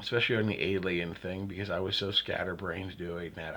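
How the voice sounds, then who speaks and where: A man with an American accent, very deep and low in pitch, monotone and flat, at a moderate pace. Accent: Pittsburgh dialect, slight, slips through. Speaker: YouTube creator, vlogger. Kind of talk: casual solo vlog. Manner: hesitant, many fillers and self-repeats.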